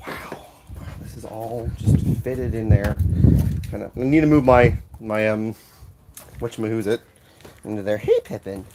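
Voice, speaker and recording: Noticeable background noise sits under the voice. The delivery keeps a moderate tempo. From London (Catford, South London). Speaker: streamer and voice actor. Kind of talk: casual live-stream chat. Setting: home recording studio. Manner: animated.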